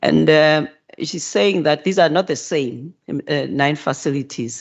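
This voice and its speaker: A non-native accent at a fairly slow pace. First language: not English. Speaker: provincial health minister. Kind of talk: committee hearing response. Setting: parliament committee room. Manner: halting, many repetitions and fillers.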